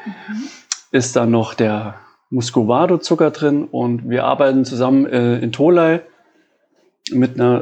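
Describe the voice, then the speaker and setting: A man talks in a normal speaking voice at medium pitch and a moderate pace, with ordinary pitch variation. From Saarland, Germany (Bliesgau). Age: 30s. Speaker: coffee roaster. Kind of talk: casual interview chat. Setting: his living room.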